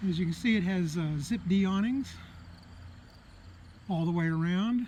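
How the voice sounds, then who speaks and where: A moderate pace paired with ordinary pitch variation. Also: man. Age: 60s. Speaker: private seller showing his travel trailer. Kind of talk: walkaround tour video. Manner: casual, with hesitations.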